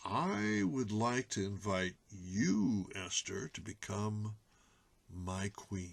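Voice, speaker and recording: Delivered very slowly, a put-on character voice keeps a fairly even intonation. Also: man, fairly low pitch for a man. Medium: read story. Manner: imperious.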